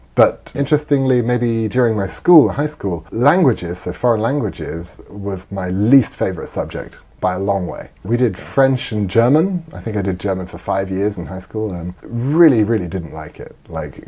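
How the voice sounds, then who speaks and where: Over noticeable background noise, a man with a fairly low pitch speaks at a moderate pace with lively intonation, hardly any pauses and big swings in loudness. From England, Nottingham (East Midlands). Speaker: software engineer. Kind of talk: podcast interview.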